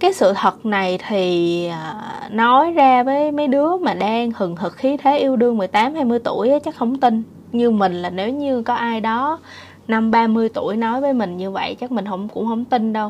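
Using a plain, everyday voice, a woman speaks at a fairly slow pace with a fairly high pitch and lively intonation. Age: 30s. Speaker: vlogger. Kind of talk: casual monologue.

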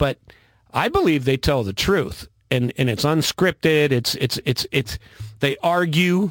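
In a very clean recording with a silent background and a dry, close sound free of echo, a man with an unremarkable speaking voice talks at a moderate pace with lively intonation. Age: 50s. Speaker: military veteran and political commentator. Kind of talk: casual chat. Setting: studio.

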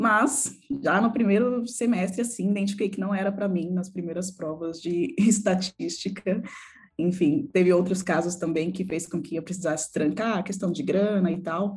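Somewhat breathy, a woman at a medium pitch talks at a moderate pace with ordinary pitch variation. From São Paulo, Brazil (Jaraguá, periphery). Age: 20s. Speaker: UX designer and community founder. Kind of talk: interview.

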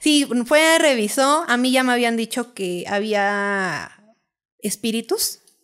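Her voice sits fairly high, and this woman's intonation is lively. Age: 30s. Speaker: architect and dancer. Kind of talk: storytelling interview.

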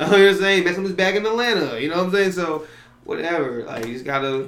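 A man with an American accent talks at a very fast pace in a high pitch, using lively intonation. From New York. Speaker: guest. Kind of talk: casual chat.

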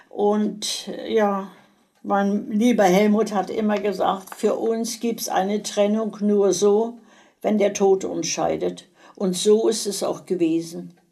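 Very slowly, a woman speaks at a medium pitch in a dark, mellow tone with monotone, flat intonation. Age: 80s+. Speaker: grandmother being interviewed. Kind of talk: casual chat.

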